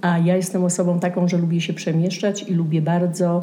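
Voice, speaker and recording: A woman speaks at a moderate pace. There is noticeable background noise and audible room echo. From southern Poland, Częstochowa. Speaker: Polish immigrant. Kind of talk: casual chat.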